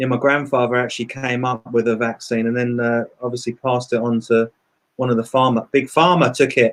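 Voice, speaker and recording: In an English accent, a man delivers monotone, flat intonation at medium pitch and a fairly quick pace. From England (London and Brighton). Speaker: musician and producer. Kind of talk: interview. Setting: live video stream. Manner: casual, chatty.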